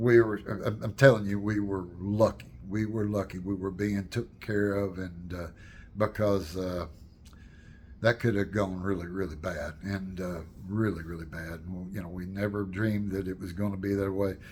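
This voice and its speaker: The voice is somewhat breathy, with fairly even intonation. It moves at a moderate pace. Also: man, fairly low pitch for a man. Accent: American. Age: 70s. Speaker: storyteller and channel owner. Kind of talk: casual personal storytelling to camera. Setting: home, with wife's paintings behind. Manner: halting, many fillers and restarts.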